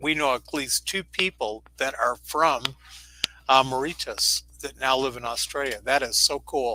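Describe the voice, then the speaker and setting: A man talks at a fairly slow pace with fairly even intonation. His voice is fairly high, with a bright, sharp tone. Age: 70s. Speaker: psychic medium. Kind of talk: live-streamed intuitive reading.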